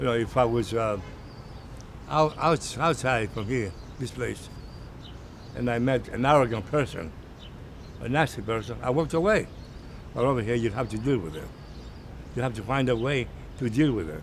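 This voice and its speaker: A man talks at a moderate pace and a medium pitch, with lively intonation and vocal fry. He leaves long, frequent pauses. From Greece. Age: old. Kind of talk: interview answer.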